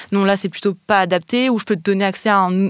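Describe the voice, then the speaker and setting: The recording is very clean with a silent background. A woman is speaking. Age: 30s. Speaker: linguistics doctoral student. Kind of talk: interview. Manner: hesitant, many fillers.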